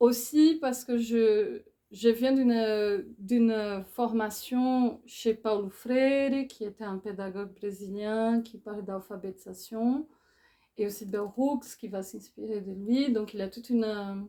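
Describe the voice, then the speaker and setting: A woman with a fairly high pitch and a dark, mellow tone speaks at a very slow pace, with fairly even intonation and big swings in loudness. The recording is very clean, with a silent background. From Brazil. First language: Portuguese (speaking French). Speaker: philosopher and author. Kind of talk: book talk interview. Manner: halting, with hesitations.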